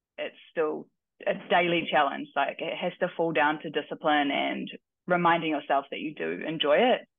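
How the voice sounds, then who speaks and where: This woman talks at a moderate pace. She has a New Zealand accent. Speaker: weightlifting coach and athlete. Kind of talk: casual interview.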